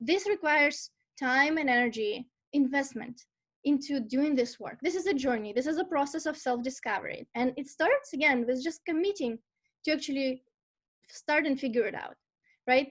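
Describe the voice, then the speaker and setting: A woman's high-pitched voice with a Russian accent, at a moderate pace. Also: ordinary pitch variation. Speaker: life purpose and career coach. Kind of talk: online masterclass talk. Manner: animated, conversational with fillers.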